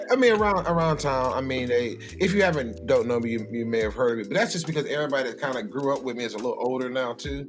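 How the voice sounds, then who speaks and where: A man at medium pitch with lively intonation, a very fast pace and hardly any pauses, over music in the background. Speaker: radio host, comedian, podcast host and entrepreneur. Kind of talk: casual conversational podcast guest talk.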